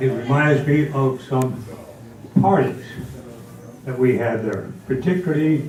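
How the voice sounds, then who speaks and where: Over noticeable background noise and audible room echo, a man with an American accent speaks in a fairly high pitch at a fairly slow pace, with fairly even intonation and long, frequent pauses. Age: 90s. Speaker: community elder. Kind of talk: reminiscing speech.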